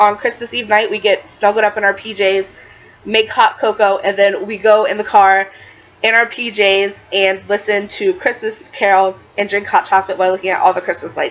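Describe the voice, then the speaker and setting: Monotone, flat intonation comes in an American accent over noticeable background noise. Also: woman, medium pitch for a woman. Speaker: lifestyle vlogger. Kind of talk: tutorial. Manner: fast; casual, filler-heavy.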